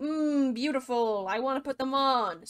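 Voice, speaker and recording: A woman uses a put-on character voice with a high pitch. She keeps a moderate pace. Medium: machinima.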